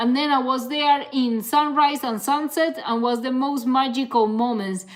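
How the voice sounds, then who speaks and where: A woman's high-pitched voice, at a moderate pace with ordinary pitch variation. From Canary Islands, Spain. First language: Spanish. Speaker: ultra-distance cyclist and content creator. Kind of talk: live stream Q&A. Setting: live stream. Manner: casual, hesitant with fillers.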